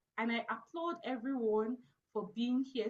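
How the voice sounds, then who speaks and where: A woman speaks in an African accent. Her fairly high pitch shows ordinary variation. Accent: African accent, noticeable in the US. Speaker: networking event host. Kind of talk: video call panel discussion. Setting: Zoom video call. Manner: casual, filler-heavy (like, you know).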